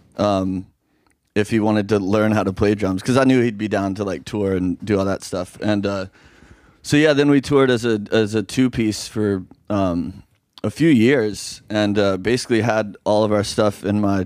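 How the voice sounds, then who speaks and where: A man with an American accent and an unremarkable speaking voice, fairly low in pitch, ordinary pitch variation, a moderate pace, in a very clean recording with a silent background. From US South, Oxford, Mississippi. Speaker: rock musician. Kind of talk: casual chat.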